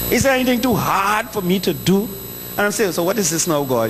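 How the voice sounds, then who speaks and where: A man with a Trinidadian accent speaks fairly quickly in a high pitch with lively intonation. Noticeable background noise and audible room echo fill the recording. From Trinidad (south). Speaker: preacher. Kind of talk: sermon.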